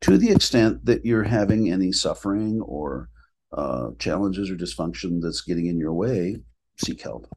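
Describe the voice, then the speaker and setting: An American accent with vocal fry, very wide pitch swings and a moderate pace. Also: man, very deep, low pitch for a man. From Minnesota, US Upper Midwest. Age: 60s. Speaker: clinical director and spiritual teacher. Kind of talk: podcast interview.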